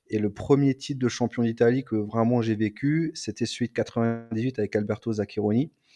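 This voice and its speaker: Against a quiet background, a man with a medium pitch and a dark, mellow tone speaks with hardly any pauses and fairly even intonation, the sound dry and close with no echo. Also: moderate pace. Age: 30s. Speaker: football podcast panelist. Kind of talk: casual chat.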